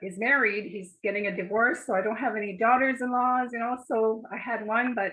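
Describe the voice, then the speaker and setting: This is an unremarkable speaking voice with fairly even intonation. It moves at a fairly quick pace with hardly any pauses. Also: woman, fairly high pitch for a woman. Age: 60s. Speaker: art course participant. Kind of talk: casual chat.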